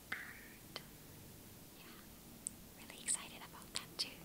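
A woman whispers, soft-spoken, at a fairly slow pace. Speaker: vlogger. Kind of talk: casual vlog chat. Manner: soft ASMR whisper, close to mic. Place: home room. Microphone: webcam.

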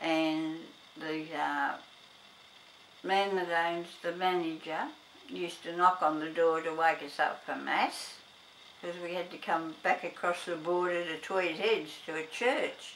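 A woman with an Australian accent, monotone and flat, at a fairly slow pace with long, frequent pauses over light background noise. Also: fairly low pitch for a woman. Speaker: grandmother interviewed by grandson. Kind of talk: interview answer. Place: home room.

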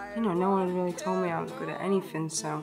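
Clear music plays in the background. Over it, a woman with a medium-pitched voice talks very fast. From Blackpool, England. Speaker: singer-songwriter. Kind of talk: interview answer. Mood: relaxed, reflective. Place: hall.

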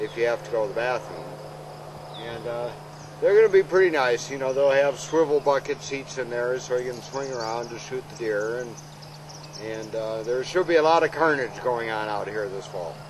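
A man at a moderate pace, with ordinary pitch variation, big swings in loudness, noticeable background noise and a dry sound with no echo. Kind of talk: casual documentary chat. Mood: relaxed, joking.

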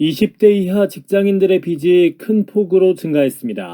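A man's high-pitched voice with a dark, mellow tone, ordinary pitch variation and a moderate pace, dry and close with no echo. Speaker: announcer practice reader. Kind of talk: TV news read.

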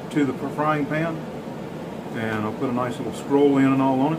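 At a moderate pace, a man speaks through loud background noise. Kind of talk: casual tutorial intro. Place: workshop. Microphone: phone near.

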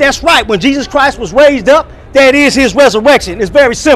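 A man's extremely high-pitched voice at a fairly quick pace, with ordinary pitch variation. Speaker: online preacher reacting to another preacher. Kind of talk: sermon-style commentary. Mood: argumentative, rebutting. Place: street. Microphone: phone near.

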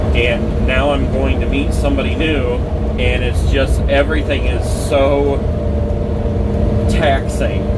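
There is loud background noise behind this man. He speaks at a very slow pace. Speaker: RV traveler vlogger. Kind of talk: casual vlog chat. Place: car.

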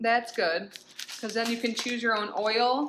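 Over noticeable background noise, a woman talks at a fairly quick pace. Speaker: product unboxing vlogger. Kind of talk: casual vlog chat. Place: home room. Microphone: phone near.

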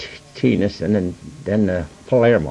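Delivery moves at a fairly slow pace. The pitch varies in an ordinary way. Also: man. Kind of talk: interview answer. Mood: relaxed, smiling. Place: boat.

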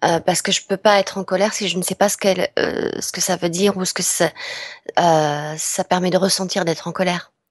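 A woman talks at a fairly quick pace with monotone, flat intonation. The sound is dry and close with no echo, over a quiet background. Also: medium pitch for a woman. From southwest France. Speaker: voice actress. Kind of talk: interview. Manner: hesitant, many fillers.

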